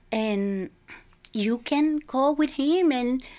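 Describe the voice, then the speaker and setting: A woman with a Mexican accent and lively intonation, on a very clean recording with a silent background. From Mexico, Sinaloa. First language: Spanish. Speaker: parishioner guest. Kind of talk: interview, casual chat.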